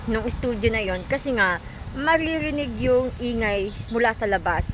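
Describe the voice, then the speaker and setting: Noticeable background noise sits behind a woman's high-pitched voice. She talks at a moderate pace with an animated tone and lively intonation. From Philippines. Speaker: vlogger. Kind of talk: casual vlog storytelling.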